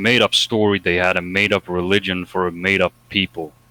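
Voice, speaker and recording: Music plays behind a man whose very deep, low voice runs at a very fast pace in flat monotone, recorded dry and close with no echo. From Sweden. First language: Swedish. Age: 20s. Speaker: discussion guest. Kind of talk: heated debate. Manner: halting.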